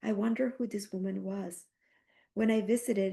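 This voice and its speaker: A woman's medium-pitched voice with a dark, mellow tone and fairly even intonation, at a fairly quick pace against a quiet background. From Colombia. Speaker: artist. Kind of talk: reading aloud. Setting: stage with audience. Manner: halting.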